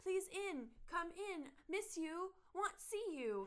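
This put-on character voice is squeaky and pitched extremely high. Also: fairly slow pace. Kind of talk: broken, simple words. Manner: cute, pleading, broken.

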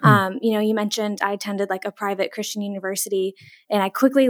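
A woman with an ordinary speaking voice talks at a fairly quick pace in a fairly high pitch, her intonation fairly even, on a very clean recording with a silent background. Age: 20s. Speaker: mental health counselor. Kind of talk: casual interview. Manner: lots of fillers like 'like' and 'um'.

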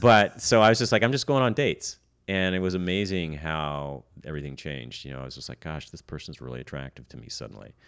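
Talking very fast, this man has a very deep, low voice with very wide swings in pitch. The recording is very clean, with a silent background. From Canada. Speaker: stand-up comedian. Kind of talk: casual chat. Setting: behind plexiglass shield.

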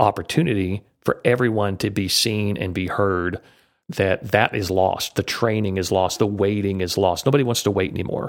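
A man's plain, everyday voice at a moderate pace, on a very clean recording with a silent background. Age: 50s. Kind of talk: interview conversation. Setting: podcast interview.

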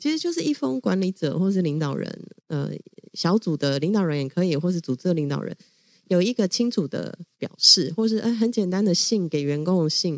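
Fairly low-pitched woman at a fairly quick pace, animated tone and lively intonation, in a dry, close recording with no echo. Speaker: LGBTQ rights advocacy leader. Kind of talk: interview conversation. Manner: animated, frequent laughter.

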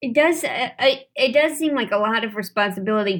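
With an American accent, a woman talks in a high pitch with lively intonation. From St. Louis, Missouri. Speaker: comedian and actor. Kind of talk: casual chat. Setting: studio.

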